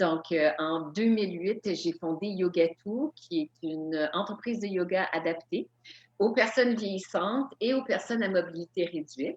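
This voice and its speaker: This is a normal speaking voice with ordinary pitch variation at a fairly slow pace. The sound is dry and close, with no echo. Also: woman, medium pitch for a woman. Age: 60s. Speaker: yoga instructor and author. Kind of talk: lecture.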